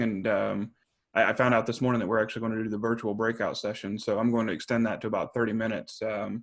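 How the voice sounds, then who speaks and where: A man is speaking. His pace is very fast. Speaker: engineer giving a presentation. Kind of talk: webinar presentation. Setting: video call. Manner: fast when nervous.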